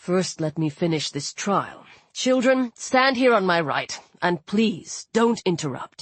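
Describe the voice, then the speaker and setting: At a fairly slow pace, a female-sounding voice does a put-on character voice at a middle pitch. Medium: read story.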